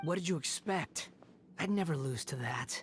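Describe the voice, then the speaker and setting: A man's put-on character voice, high in pitch, at a moderate pace with music in the background. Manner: smug, arrogant.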